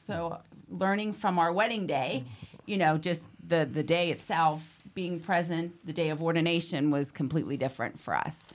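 This woman has an ordinary speaking voice with an American accent. Her pitch is fairly low and her pace moderate. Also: ordinary pitch variation. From Western Pennsylvania. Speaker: deacon's wife. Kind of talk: casual interview chat.

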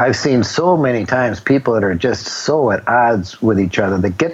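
Against noticeable background noise, a man of medium pitch talks at a moderate pace with ordinary pitch variation. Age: 60s. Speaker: businessman turned humanitarian author and speaker. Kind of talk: interview. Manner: halting, repeats words.

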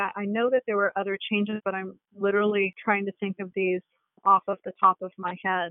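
Talking at a fairly quick pace, a woman uses a normal speaking voice at a medium pitch. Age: 40s. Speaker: biotech company CEO. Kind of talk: interview.

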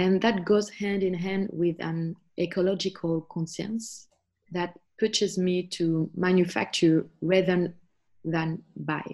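Speaking very slowly in a flat monotone, a woman with a French accent uses a medium pitch on a very clean recording with a silent background. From France. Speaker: homeschooling mother. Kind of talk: interview.

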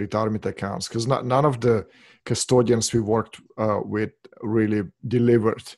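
Recorded very cleanly over a silent background, a man with a Russian accent speaks at a moderate pace. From former Soviet Union. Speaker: financial services founder. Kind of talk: interview.

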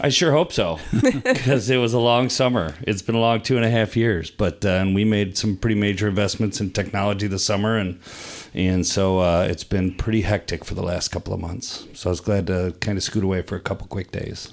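The pace is moderate and the pitch variation ordinary. It is an unremarkable speaking voice. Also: man, fairly low pitch for a man. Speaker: podcast guest.

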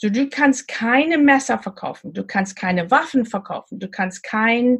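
Fairly slow, somewhat breathy speech from a woman, with ordinary pitch variation. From Namibia. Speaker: e-commerce coach. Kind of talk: interview. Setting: video call from a houseboat. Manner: slow, halting with many fillers.

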